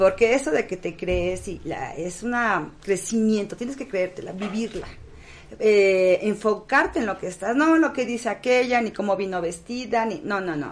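A woman with a plain, everyday voice at a medium pitch speaks at a moderate pace with lively intonation. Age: 50s. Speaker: pageant director. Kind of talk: casual chat.

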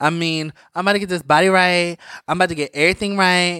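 Talking at a fairly quick pace, a man with a high-pitched, bright and sharp tone sounds dry and close with no echo on a very clean recording with a silent background. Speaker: podcast co-host. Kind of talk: casual chat, gossipy.

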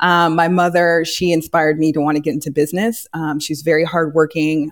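A woman's very deep, low voice with a Californian accent at a fairly quick pace. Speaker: real estate agent and NFL wife. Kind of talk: casual interview chat. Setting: live online video call.

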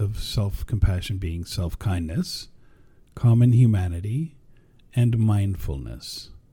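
The voice is somewhat breathy with a dark, mellow tone, lively intonation and a moderate pace. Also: man. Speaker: podcast host. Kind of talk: interview-style podcast conversation.

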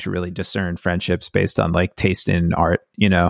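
A man with an American accent talks in a very deep, low voice. The recording is very clean and dry, close-miked with a silent background and no echo. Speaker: musician in a band. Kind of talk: casual interview chat. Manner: halting, many fillers and restarts.

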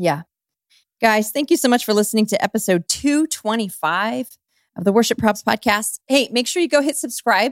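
On a very clean recording with a silent background, an ordinary speaking voice carries lively intonation. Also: woman, fairly high pitch for a woman, moderate pace. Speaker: podcast co-host. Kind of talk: casual chat.

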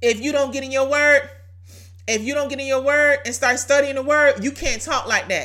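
Raised and projected, a woman's high-pitched voice comes across bright and sharp with an animated tone. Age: 30s. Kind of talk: devotional teaching monologue.

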